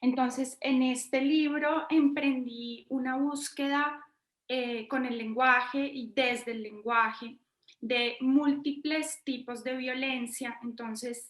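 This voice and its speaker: The voice is monotone, with flat intonation. The pace is very slow. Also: woman, high pitch for a woman. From Colombia, Bogotá. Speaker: poet and university professor. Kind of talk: interview.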